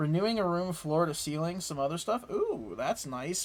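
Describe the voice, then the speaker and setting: A man talks with an American accent. He has a plain, everyday voice. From United States. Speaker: gaming streamer. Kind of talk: casual chat while gaming, reading chat aloud. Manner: casual, filler-heavy with frequent repeats.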